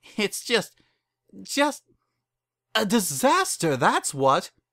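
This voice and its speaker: A man puts on a shrill character voice, high in pitch with very wide pitch swings. He speaks at a very slow pace. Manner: exasperated.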